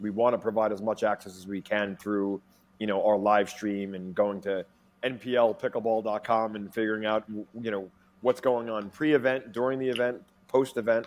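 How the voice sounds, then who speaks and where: A man in a normal speaking voice, fairly low in pitch, at a moderate pace. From New York. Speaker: pickleball league executive; guest. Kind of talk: interview. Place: home room. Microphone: earbuds.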